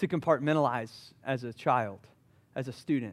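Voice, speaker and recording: A man with a Southern US accent. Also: very clean recording, silent background. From US South, Charleston, South Carolina. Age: 30s. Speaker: pastor. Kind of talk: sermon. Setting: church.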